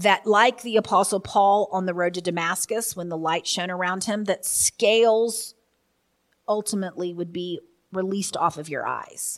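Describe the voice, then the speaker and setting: The recording is very clean, with a silent background. A woman with a medium pitch speaks at a moderate pace in a fairly even intonation. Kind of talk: opening prayer then preaching-style teaching monologue. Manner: fervent, earnest, impassioned prayer, yielding and expectant; conversational, earnest, teaching.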